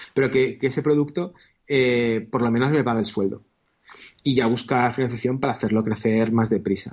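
A man speaks at a moderate pace and a medium pitch in an unremarkable speaking voice. His loudness stays very even. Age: 30s. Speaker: software entrepreneur and programmer. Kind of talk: interview.

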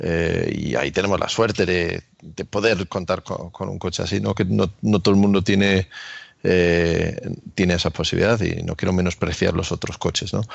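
The speaker is a man with a very deep, low voice. He keeps to a moderate rate. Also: fairly even intonation. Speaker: YouTuber, electric car owner. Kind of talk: casual chat.

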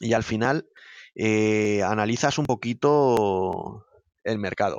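The voice is a man's, pitched fairly low. His intonation is fairly even. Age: 30s. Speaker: operations director of an EV charging installer. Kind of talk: interview. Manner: hesitant, with fillers and repetitions.

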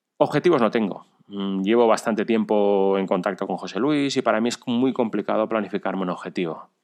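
A man talks at a fairly quick pace over a quiet background. He has an ordinary speaking voice, fairly low in pitch, with ordinary pitch variation. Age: 40s. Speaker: amateur cyclist and runner, listener. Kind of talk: recorded personal story.

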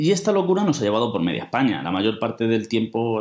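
Talking very fast, a man uses lively intonation at a medium pitch. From Spain, Toledo. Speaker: teacher studying for civil service exam. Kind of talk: personal monologue.

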